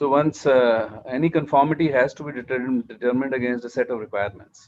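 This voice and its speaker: A man with an Indian accent speaks at a moderate pace in a medium pitch, his intonation fairly even, with a dry, close sound and no echo. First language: Hindi. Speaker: standards and accreditation official. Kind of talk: panel discussion.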